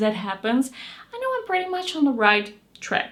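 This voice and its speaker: A woman speaks with a Dutch accent. There is noticeable background noise. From Netherlands. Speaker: beauty youtuber. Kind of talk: casual chat.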